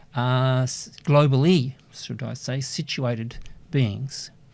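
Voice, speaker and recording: In a very clean recording with a silent background, a man speaks in a plain, everyday voice with ordinary pitch variation. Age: 60s. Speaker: university lecturer. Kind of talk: lecture.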